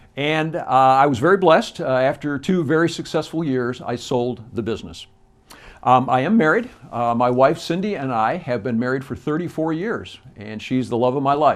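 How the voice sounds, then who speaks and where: A man in a Midwestern American accent, with a fairly high pitch, lively intonation and a moderate pace. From US Midwest, Joliet, Illinois. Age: 60s. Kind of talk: campaign address. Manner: halting, with frequent fillers.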